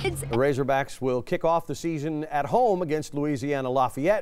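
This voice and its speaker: Against a silent background in a very clean recording, a man with an American accent and a plain, everyday voice speaks at a moderate pace, with fairly high pitch and lively intonation. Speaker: television news anchor and reporter. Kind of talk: TV news anchor delivery.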